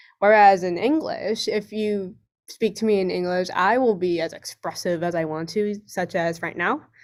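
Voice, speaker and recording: A woman with a West Coast US accent, medium in pitch, at a moderate pace with ordinary pitch variation. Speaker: student panelist. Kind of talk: online panel discussion. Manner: expressive, varied tone.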